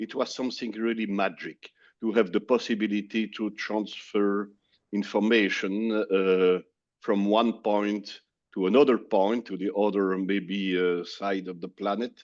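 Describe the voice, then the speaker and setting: Over a quiet background, a man with a French accent talks at a moderate pace in a fairly low voice. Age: 60s. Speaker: business executive. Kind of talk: interview. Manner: halting, many fillers.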